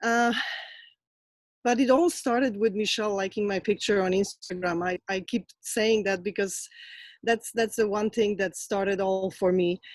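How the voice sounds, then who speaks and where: The recording is dry and close, with no echo. A woman with a Polish accent speaks at a moderate pace with fairly even intonation. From Poland. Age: 40s. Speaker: fitness coach. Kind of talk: testimony. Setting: video call.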